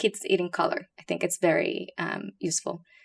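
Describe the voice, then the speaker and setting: A woman speaks with a Puerto Rican accent at a fairly low pitch, with ordinary pitch variation. The recording is very clean, with a silent background. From Puerto Rico. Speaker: pediatric hepatologist. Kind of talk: podcast interview.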